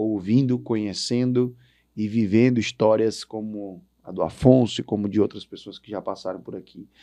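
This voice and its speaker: In a fairly low, dark, mellow tone, a man speaks at a fairly slow pace with fairly even intonation over a quiet background. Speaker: podcast host, agribusiness executive. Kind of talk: interview podcast closing remarks.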